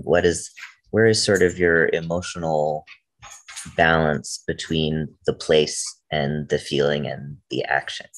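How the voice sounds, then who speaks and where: The man talks at a fairly slow pace in a very deep, low voice with fairly even intonation. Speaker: poet. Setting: video call. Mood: reflective, curious. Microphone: video call.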